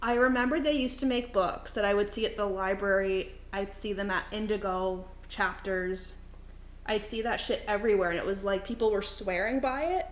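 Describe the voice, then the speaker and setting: A woman with a fairly high pitch speaks in an animated tone at a moderate pace. Her pitch varies in an ordinary way, and the room echo is audible. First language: not English (third language). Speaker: streamer. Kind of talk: casual chat. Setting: live stream in a kitchen.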